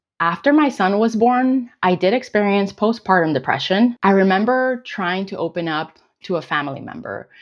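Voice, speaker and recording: A woman with a Spanish accent speaks at a moderate pace, her pitch medium. Her intonation is lively, with hardly any pauses. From Colombia, then United States. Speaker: weight loss vlogger. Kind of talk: casual Q&A vlog.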